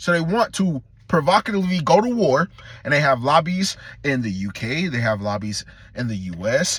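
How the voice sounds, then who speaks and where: Speaking at a moderate pace, a man uses an animated tone with very wide pitch swings. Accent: American. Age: 20s. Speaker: vlogger. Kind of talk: rant. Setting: in a car.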